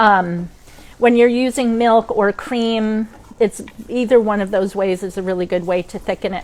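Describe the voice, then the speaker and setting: A woman with a Maine accent talks at a moderate pace with fairly even intonation. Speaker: cooking instructor. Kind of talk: cooking demo. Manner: casual, many fillers.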